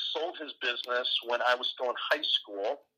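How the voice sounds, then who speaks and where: With a Midwestern American accent, a man speaks at a fairly slow pace. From US Midwest, Ohio. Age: 40s. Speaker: entrepreneur and advisor. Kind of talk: interview.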